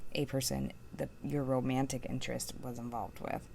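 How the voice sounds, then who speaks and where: Soft-spoken woman mumbling at a fairly quick pace. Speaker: tarot reader. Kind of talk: tarot reading.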